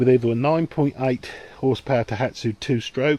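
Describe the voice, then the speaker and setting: A man's medium-pitched voice with a British accent, lively intonation and a moderate pace. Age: 60s. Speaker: boating video creator. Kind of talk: tutorial. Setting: outdoors. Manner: casual, hesitant with fillers.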